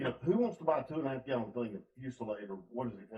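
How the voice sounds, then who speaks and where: With an Alabama accent, a man talks at a medium pitch. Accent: Alabama Southern. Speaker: company host interviewer. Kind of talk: casual interview.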